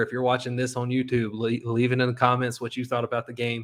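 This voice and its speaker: The recording is very clean with a silent background, and the speech comes with an American accent. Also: man. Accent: sounds like a redneck (rural American). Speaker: sports podcast host. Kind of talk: casual solo podcast commentary. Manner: animated.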